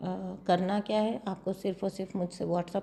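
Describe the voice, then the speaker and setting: A soft-spoken woman talks at a fairly slow pace in a dark, mellow tone. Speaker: tarot card reader. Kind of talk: tarot reading with promotion. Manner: soft, low volume.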